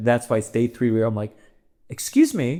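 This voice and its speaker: This is a man's voice at medium pitch. He talks at a fairly quick pace. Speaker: comedian. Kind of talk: casual chat. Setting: in Amsterdam, travelling. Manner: loud.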